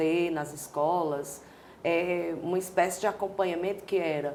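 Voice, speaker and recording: A woman speaking at a fairly slow pace, her intonation fairly even, with audible room echo. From Brazil, Ceará (Fortaleza). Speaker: dancer and choreographer. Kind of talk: interview.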